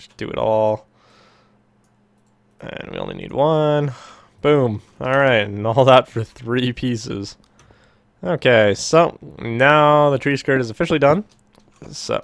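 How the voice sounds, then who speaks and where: Speaking at a very slow pace with long, frequent pauses, a man at medium pitch shows ordinary pitch variation and big swings in loudness. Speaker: gaming YouTuber. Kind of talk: gameplay commentary. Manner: casual, filler-heavy.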